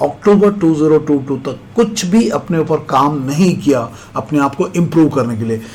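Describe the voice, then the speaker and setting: Spoken with a Malayalam accent and lively intonation, the voice carries audible room echo and noticeable background noise. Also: man. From India, Kerala. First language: Malayalam (speaking Hindi). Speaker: SSB interview coach, retired army officer. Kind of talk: motivational lecture.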